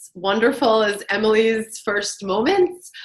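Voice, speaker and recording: A woman's fairly high-pitched voice with an American accent and ordinary pitch variation. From US, New York. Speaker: journalist and marketing entrepreneur. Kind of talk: interview. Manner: casual, filler-heavy.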